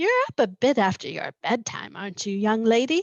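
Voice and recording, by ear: Putting on a gruff character voice, a woman speaks with a fairly high pitch and lively intonation. Her loudness swings widely while her pace stays moderate.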